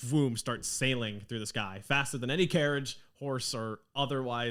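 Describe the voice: The speaker reads aloud. The reading is plain.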